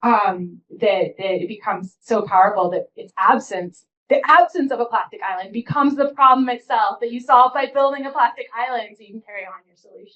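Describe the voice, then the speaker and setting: A woman speaks loudly at a fairly quick pace in a high pitch. Her tone is bright and sharp, with lively intonation. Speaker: keynote speaker, humanities professor. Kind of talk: audience Q&A after keynote. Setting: conference hall with audience, microphone. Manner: self-described loud; hesitant, many fillers.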